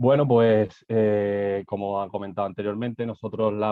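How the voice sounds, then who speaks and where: With a Spanish accent, the speaker talks at a moderate pace in a monotone, flat intonation. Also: man. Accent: Spanish (Spain). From Spain. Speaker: architect, construction digitalization manager. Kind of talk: conference presentation. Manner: halting, many fillers and repetitions.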